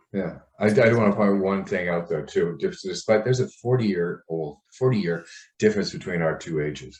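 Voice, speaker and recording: A man's unremarkable speaking voice, fairly low in pitch, fairly quick, with ordinary pitch variation. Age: 60s. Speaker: personal trainer and podcast co-host. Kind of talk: podcast discussion.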